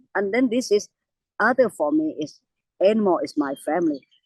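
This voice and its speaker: Speaking with a Thai accent, a woman moves at a moderate pace with very wide pitch swings. The sound is dry and close, with no echo. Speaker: elephant conservationist. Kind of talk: interview. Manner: halting.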